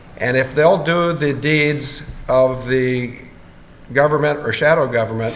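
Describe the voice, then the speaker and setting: In a room with audible echo, a man with an American accent speaks at a fairly slow pace, his fairly high pitch carried on fairly even intonation. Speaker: conference speaker. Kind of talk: Q&A session.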